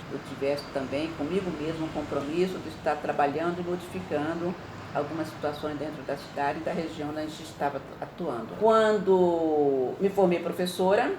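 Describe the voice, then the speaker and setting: A woman's very deep, low voice with hardly any pauses, amid audible room echo and noticeable background noise. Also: ordinary pitch variation, moderate pace. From Brazil, mainly Ribeirão Preto (São Paulo state) from youth. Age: 70s. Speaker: retired teacher and women's NGO president, activist. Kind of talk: interview testimony.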